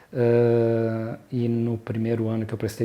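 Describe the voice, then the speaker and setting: Dark, mellow tone in a man's somewhat breathy voice. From southern Brazil (Rio Grande do Sul, Porto Alegre) then São Paulo. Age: 60s. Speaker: pediatrician and mountain guide. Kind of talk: personal life story interview. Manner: hesitant, with many fillers and repetitions.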